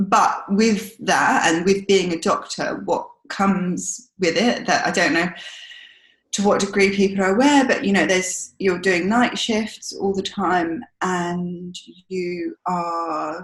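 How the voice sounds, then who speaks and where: A somewhat breathy woman with a London accent, very slow pace and ordinary pitch variation. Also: medium pitch for a woman. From South London. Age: 30s. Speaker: doctor and cancer patient. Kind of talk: personal testimony in podcast interview. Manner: hesitant, many fillers.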